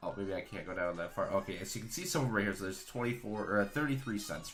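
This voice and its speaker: Quiet speech comes at a very fast pace. Music plays in the background, and the room echo is audible. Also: man. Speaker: card game streamer. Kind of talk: live stream card discussion.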